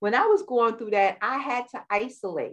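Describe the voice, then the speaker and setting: A woman with a New York accent. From New York, Queens. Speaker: war veteran and wellness coach. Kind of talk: interview.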